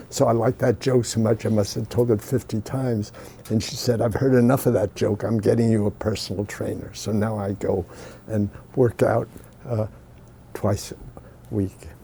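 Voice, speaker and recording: Here a man talks at a medium pitch and moderate pace, his tone dark, mellow and somewhat breathy. His intonation stays fairly even, broken by long, frequent pauses. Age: 80s+. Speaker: scientist. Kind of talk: interview. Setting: sitting with interviewer in person. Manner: halting, with fillers.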